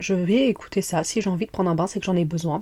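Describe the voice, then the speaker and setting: A woman speaks at a fairly quick pace in an animated tone, her pitch medium. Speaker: podcast host. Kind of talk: casual chat. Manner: fast.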